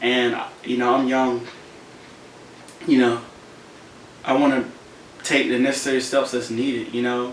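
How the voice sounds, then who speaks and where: Amid noticeable background noise and audible room echo, a man talks at medium pitch in a monotone, flat intonation, leaving long, frequent pauses. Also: moderate pace. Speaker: motivational content creator. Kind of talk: casual vlog monologue.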